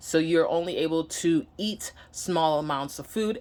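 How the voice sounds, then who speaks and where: Her pitch varies in an ordinary way as this woman speaks with a slight Nigerian accent. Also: very clean recording, silent background. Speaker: vlogger. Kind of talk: personal vlog. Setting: home, sitting down to camera. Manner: halting, many fillers.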